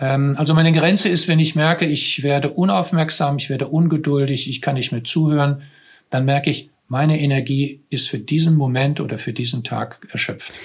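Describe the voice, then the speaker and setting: A man talks at a moderate pace in a fairly high, somewhat breathy voice. His pitch varies in an ordinary way. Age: 60s. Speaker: psychotherapist in cancer care. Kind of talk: interview conversation.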